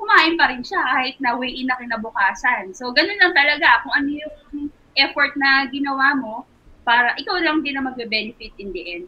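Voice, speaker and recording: A woman speaks fairly quickly in a high pitch, her intonation lively and her loudness swinging widely. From Philippines. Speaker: sports nutritionist; nutrition coach. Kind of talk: interview. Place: home room. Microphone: video call.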